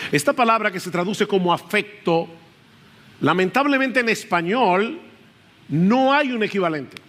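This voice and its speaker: With long, frequent pauses, a high-pitched man talks at a moderate pace with lively intonation. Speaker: pastor. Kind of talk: sermon. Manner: loud at times.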